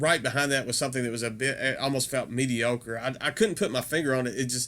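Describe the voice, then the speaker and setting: A man with a medium pitch and a Southern US accent at a very fast pace. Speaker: metal music YouTuber. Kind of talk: casual video review. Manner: hesitant, many fillers.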